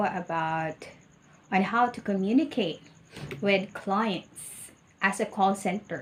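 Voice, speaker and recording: A woman speaks with a Filipino accent and lively intonation. Her pace is very slow. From Philippines. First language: Tagalog. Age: 40s. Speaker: ESL teacher. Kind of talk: mock job interview answers. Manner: halting.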